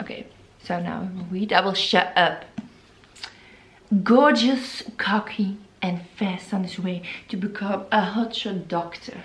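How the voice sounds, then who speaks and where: A woman with a Flemish accent talks at a medium pitch and a fairly slow pace with ordinary pitch variation, leaving long, frequent pauses as room echo remains audible. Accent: non-native English, Flemish. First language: Flemish (Dutch). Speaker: book vlogger. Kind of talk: casual vlog chat. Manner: halting, many fillers.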